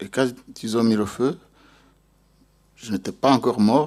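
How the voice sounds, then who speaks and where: On a very clean recording with a silent background, a man with a Rwandan accent speaks with ordinary pitch variation. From Rwanda, Mugina commune. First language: Kinyarwanda (speaking French). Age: 40s. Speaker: genocide survivor. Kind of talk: testimony. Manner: halting, with repetitions.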